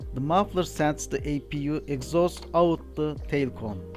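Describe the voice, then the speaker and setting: Music plays in the background as a man speaks at a fairly slow pace. He has a non-native accent. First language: not English. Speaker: aircraft APU technician and engineer. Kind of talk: technical training narration.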